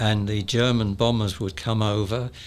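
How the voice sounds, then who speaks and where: Here a man speaks in a southern English accent with a fairly low pitch. He keeps a moderate pace. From London suburbs, England. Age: 80s+. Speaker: retired electronics engineer. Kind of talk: interview storytelling.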